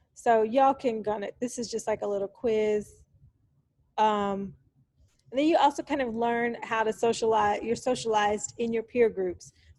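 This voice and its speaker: A woman with an American accent, fairly high in pitch, at a moderate pace. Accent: Texan pronunciation of aunt. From Texas, Dallas. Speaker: university lecturer. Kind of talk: lecture. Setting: recorded lecture over slides. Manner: casual, with many fillers.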